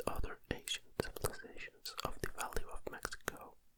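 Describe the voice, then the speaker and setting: Everything here is whispered. The delivery is fairly slow. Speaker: ASMR content creator. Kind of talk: ASMR whisper reading of encyclopedia articles. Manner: whispered, close-mic.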